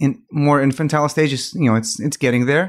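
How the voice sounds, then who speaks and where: A man speaks with a Greek accent and fairly even intonation. The recording is very clean, with a silent background. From Greece. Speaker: startup co-founder. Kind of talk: interview.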